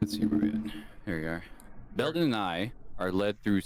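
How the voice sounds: The clip has a natural reading voice. It sounds like text being read aloud.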